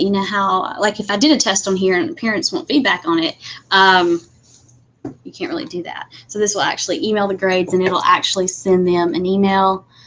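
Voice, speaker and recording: A woman speaks in a plain, everyday voice at medium pitch and a moderate pace. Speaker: instructional technology trainer for teachers. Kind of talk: webinar tutorial. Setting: live video webinar with screen share. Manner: casual, many fillers.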